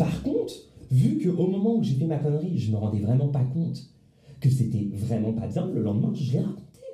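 A man speaks at a fairly quick pace in a medium pitch, his dark, mellow tone somewhat breathy and his intonation lively, with audible room echo around him. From Paris, France. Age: 20s. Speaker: law student. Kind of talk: casual chat. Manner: halting, many repetitions. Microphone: too far from the mic.

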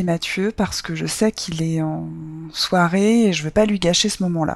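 A woman speaks in a plain, everyday voice, fairly low-pitched with ordinary pitch variation. She goes at a fairly slow pace. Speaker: storyteller sharing her love life. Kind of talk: personal testimony.

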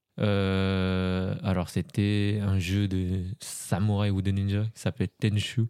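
In a Cambodian accent, a man speaks very slowly with hardly any pauses, his fairly low voice dark, mellow and monotone. Loudness stays very even on a very clean recording with a silent background. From France. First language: Khmer (speaking French). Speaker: polyglot guest. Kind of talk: casual chat.

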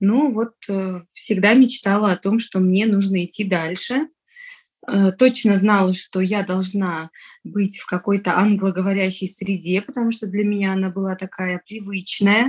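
A woman's somewhat breathy, medium-pitched voice at a fairly slow pace, with fairly even intonation. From Tajikistan, Dushanbe. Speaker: entrepreneur. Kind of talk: casual interview chat.

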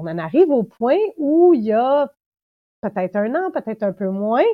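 Speaking at a fairly slow pace, a woman with a fairly high voice swings very widely in pitch. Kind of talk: casual interview.

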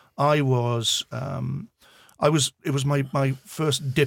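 Speaking very slowly, a man with a Welsh accent has a somewhat breathy voice at medium pitch. The recording is very clean and silent behind him, the sound dry and close with no echo. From Wales, Swansea. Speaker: visually impaired guide dog owner. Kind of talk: casual chat. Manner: halting.

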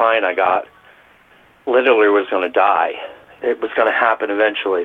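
Against noticeable background noise, a man's fairly even intonation carries his fairly quick speech. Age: 50s. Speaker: restaurant worker. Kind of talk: interview.

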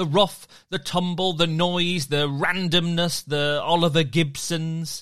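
A man with a British accent, high in pitch, at a very slow pace. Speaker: podcast storyteller. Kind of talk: dramatic story narration for children. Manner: warm, playful and enthusiastic.

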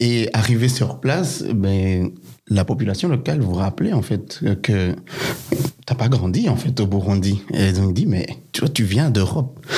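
Fairly slow delivery with lively intonation over noticeable background noise. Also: man, medium pitch for a man, very even loudness. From Belgium. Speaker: son of refugees. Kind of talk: testimony.

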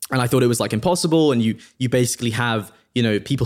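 A man at a very fast pace, very clean recording with a silent background. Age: 20s. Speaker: entrepreneur. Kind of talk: casual interview. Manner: halting, many fillers.

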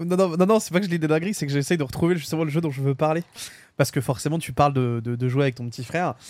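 A man's fairly high voice at a very fast pace. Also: ordinary pitch variation. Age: 20s. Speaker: gaming podcast co-host. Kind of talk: casual chat.

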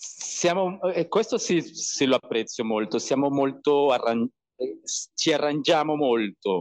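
A man with a Spanish accent speaks at a very slow pace with lively intonation. His loudness stays very even against a quiet background. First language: Spanish (speaking Italian). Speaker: bartender and video podcaster. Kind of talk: casual interview chat. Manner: halting, repeats words while searching Italian.

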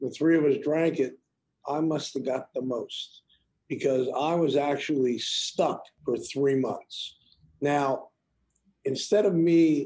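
Speaking very slowly with an American accent, this man has a fairly high pitch, a dark, mellow tone and fairly even intonation. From Cincinnati, Ohio, US. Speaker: music video director and comedy producer. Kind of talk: interview storytelling.

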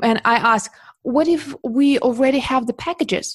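Speaking at a fairly slow pace with a Russian accent, a woman shows ordinary pitch variation in a dry, close sound with no echo and a quiet background. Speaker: portrait photographer. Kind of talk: interview.

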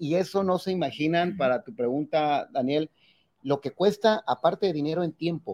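A man's high-pitched voice at a moderate pace, with ordinary pitch variation and a dry, close sound with no echo. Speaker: municipal president. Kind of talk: interview.

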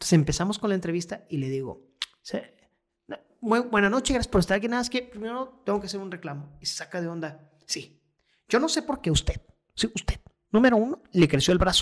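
A man talks in a high voice with an animated tone. He keeps a fairly quick pace with very wide pitch swings. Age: 30s. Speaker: stand-up comedian and radio news host. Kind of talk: casual interview chat.

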